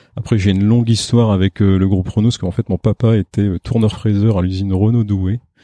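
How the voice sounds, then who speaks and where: A man speaks at a fairly quick pace with hardly any pauses, his pitch fairly low and his intonation flat and monotone. The tone is dark and mellow, and the sound is dry and close with no echo. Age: 40s. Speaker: factory director, engineer. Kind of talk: interview.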